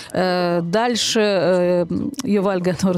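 With normal pitch movement, a woman talks in the middle of her range. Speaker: radio host. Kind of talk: scripted radio magazine presentation.

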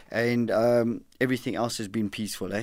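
With a normal speaking voice, a man of medium pitch talks at a fairly quick pace on a very clean recording with a silent background. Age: 50s. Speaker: former boxer and program director. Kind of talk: interview. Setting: radio studio.

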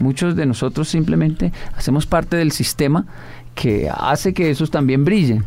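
A man speaks at a moderate pace with a fairly high pitch. Music plays in the background. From Colombia, Bogotá (Ciudad Bolívar). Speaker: motivational speaker. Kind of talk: interview.

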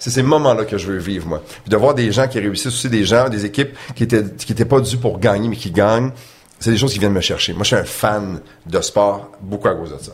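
Against noticeable background noise, a man speaks fairly quickly in a fairly low pitch with ordinary pitch variation. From Quebec City, Quebec. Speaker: sports broadcaster. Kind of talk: casual interview.

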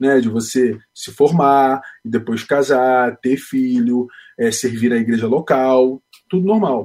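At a very slow pace, a man talks at medium pitch with ordinary pitch variation. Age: 30s. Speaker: aspiring missionary, engineer. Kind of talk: interview. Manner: halting.

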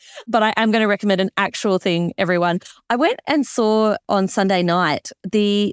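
In an Australian accent, the speaker uses an enthusiastic tone at a fairly slow pace. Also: woman, dry, close sound with no echo, very clean recording, silent background. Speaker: podcast host. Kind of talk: interview and casual chat.

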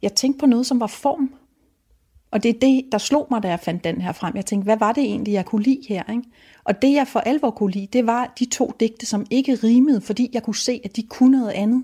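On a very clean recording with a silent background, a woman speaks with a fairly high pitch and a dark, mellow tone. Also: ordinary pitch variation, fairly quick pace. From Denmark, Rødby on Lolland. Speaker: novelist. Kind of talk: interview about books and reading. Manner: halting, with frequent fillers and restarts.

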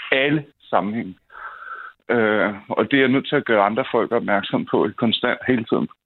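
A man speaks with ordinary variation in his pitch. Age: 30s. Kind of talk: phone-in chat. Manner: halting, many repetitions.

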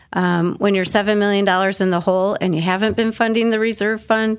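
Over a very clean recording with a silent background, a woman uses a normal speaking voice at medium pitch with fairly even intonation. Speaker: city council member. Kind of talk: interview.

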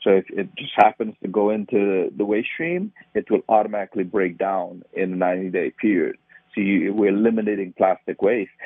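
A man speaks in a Trinidadian accent at a moderate pace. His pitch is fairly low and his intonation fairly even. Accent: Trinidadian Caribbean. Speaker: nonprofit founder. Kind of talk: interview.

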